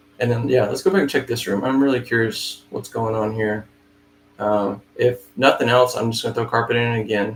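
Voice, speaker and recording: Somewhat breathy and medium in pitch, a man talks at a fairly quick pace. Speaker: flooring estimator. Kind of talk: live screen-share tutorial. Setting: live stream, no camera. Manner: fast.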